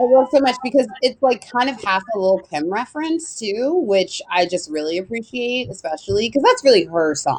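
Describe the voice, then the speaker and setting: With an American accent, a woman speaks at a moderate pace with hardly any pauses, her fairly high pitch swinging very widely over noticeable background noise. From Los Angeles, California. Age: 30s. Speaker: event producer and writer. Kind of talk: casual live chat interview. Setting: live stream video chat.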